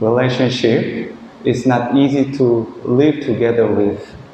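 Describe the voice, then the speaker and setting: With a Korean accent and a medium pitch, a man talks over noticeable background noise, his voice carrying audible room echo. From South Korea. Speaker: Buddhist monk. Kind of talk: dharma talk. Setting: monastery. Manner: halting.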